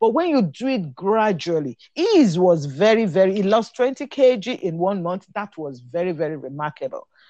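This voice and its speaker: Against a quiet background, a woman with a medium pitch and a dark, mellow tone speaks at a moderate pace with very wide pitch swings. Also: dry, close sound with no echo. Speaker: physician and nutrition lecturer. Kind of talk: expert interview.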